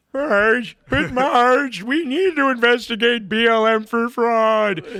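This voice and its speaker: Someone speaks in a put-on character voice at a fairly high pitch. The pace is fairly slow. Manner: dim, dopey.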